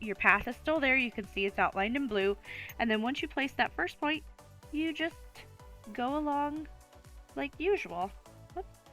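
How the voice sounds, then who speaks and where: A woman at a moderate pace with very wide pitch swings and long, frequent pauses, over music in the background. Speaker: pet photographer. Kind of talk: software tutorial. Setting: home recording, lower audio quality.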